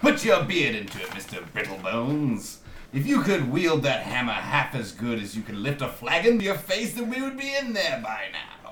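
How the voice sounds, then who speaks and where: A man puts on a shrill character voice, pitched fairly high, at a moderate pace. Clear background noise and a slight echo are present. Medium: actual play. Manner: sneering, belittling.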